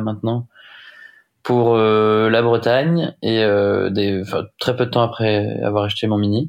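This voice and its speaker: At a fairly slow pace, a man speaks in a fairly low pitch. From Brittany, France (Rennes). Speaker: offshore sailing skipper. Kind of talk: casual interview. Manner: halting, many fillers.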